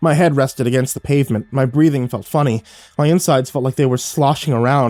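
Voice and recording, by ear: Someone is reading aloud in a natural voice.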